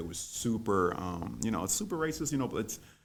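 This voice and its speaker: Audible room echo surrounds this voice. It belongs to a man with an American accent. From US South, New Orleans. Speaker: college student and debater. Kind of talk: interview. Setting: podcast studio. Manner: halting, many fillers and repetitions.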